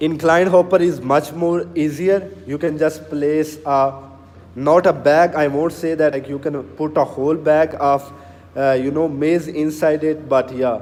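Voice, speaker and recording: The speaker has a non-native accent and talks at a fairly slow pace. The intonation stays fairly even. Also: man, fairly high pitch for a man. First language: not English. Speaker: machinery sales presenter. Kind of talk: live stream product demo. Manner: casual, repetitive.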